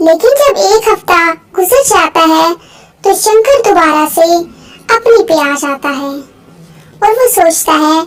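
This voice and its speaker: A cartoonish character voice delivers lively intonation at a fairly slow pace. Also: woman, extremely high pitch for a woman. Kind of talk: moral story narration.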